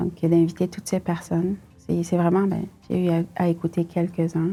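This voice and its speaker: With music in the background, a woman with a West African accent speaks at fairly low pitch in a monotone, flat intonation. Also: moderate pace. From northern Cameroon (Maroua, Douala, Yaoundé). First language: Fula (speaking French). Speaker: tech company CEO. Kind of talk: interview, personal story. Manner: hesitant, many fillers.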